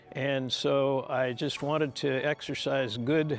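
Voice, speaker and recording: A man's fairly even intonation over music in the background. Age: 70s. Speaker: hip replacement patient, cyclist. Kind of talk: interview answer.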